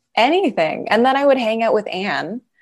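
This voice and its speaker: A woman speaks with a western Canadian accent. Her pace is moderate. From Canada, Calgary. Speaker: comedian and writer. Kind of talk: casual chat.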